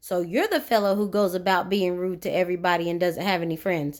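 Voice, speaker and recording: A woman puts on a character voice at medium pitch and a very fast pace. The recording is very clean, with a silent background. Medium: read story. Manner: stern, authoritative.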